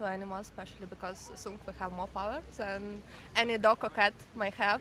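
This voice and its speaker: A woman with a Ukrainian accent speaks at a fairly quick pace and medium pitch, her bright, sharp tone showing big swings in loudness. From Ukraine, Kyiv. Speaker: passerby interviewee. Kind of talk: street conversation. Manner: halting.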